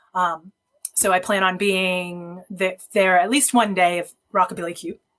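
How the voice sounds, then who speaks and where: A woman with an ordinary speaking voice talks at a moderate pace, her pitch medium and her intonation fairly even. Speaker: photographer. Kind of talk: podcast interview answer.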